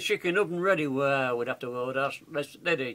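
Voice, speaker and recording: A man speaks with a Yorkshire accent in a raised, projected voice. His intonation is lively and his pace moderate. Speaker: grandfather reciting poem. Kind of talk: dialect poetry reading. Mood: warm, humorous, nostalgic. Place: home room. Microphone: webcam.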